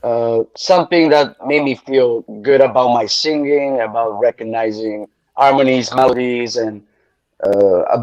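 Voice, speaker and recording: A man with an Italian accent talks at a fairly slow pace in a medium pitch, with ordinary pitch variation and a dry, close sound with no echo. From Italy, Bari area. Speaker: singer. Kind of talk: casual chat.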